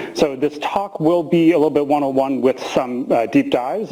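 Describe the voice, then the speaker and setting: With an American accent, a man speaks with ordinary pitch variation against noticeable background noise. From US Midwest, small town near Chicago (Illinois). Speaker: physician and professor. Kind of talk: lecture. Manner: fast.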